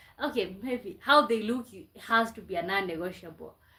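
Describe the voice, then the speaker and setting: A woman with a Kenyan accent speaks fairly slowly in a bright, sharp, fairly high voice with lively intonation, on a very clean recording with a silent background. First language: Kenyan mother tongue / Swahili. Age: 20s. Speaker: live streamer. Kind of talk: casual live stream chat.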